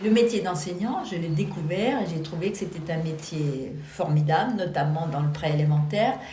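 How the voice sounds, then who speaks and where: The voice shows ordinary pitch variation. Noticeable background noise and audible room echo run through the recording. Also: woman, fairly low pitch for a woman, moderate pace, hardly any pauses. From Lorraine, eastern France. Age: 70s. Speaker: retired teacher, association president. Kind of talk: documentary interview. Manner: hesitant, many fillers.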